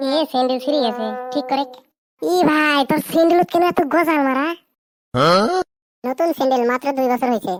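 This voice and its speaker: A cartoonish character voice at a moderate pace, with ordinary pitch variation, very even loudness and a dry, close sound with no echo. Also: woman, high pitch for a woman. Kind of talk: comic cartoon banter. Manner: joking, bantering.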